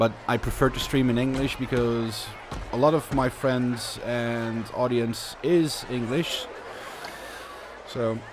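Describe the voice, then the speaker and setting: With a Dutch accent, a man talks at medium pitch and a fairly slow pace, his intonation fairly even. Long, frequent pauses break his speech as music plays in the background. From Netherlands. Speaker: video game streamer. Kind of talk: live gameplay commentary. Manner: casual, halting with repetitions.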